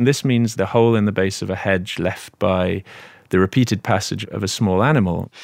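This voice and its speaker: Someone with an English accent speaks at a fairly quick pace with ordinary pitch variation, in a very clean recording with a silent background. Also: man, fairly low pitch for a man. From Britain. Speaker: author. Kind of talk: interview.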